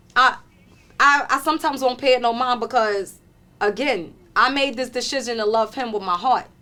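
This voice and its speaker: A woman projects her high voice in a raised, bright, sharp tone. She keeps a moderate pace with ordinary pitch variation. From Harlem, New York. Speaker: retired correction officer and author. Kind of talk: interview answer.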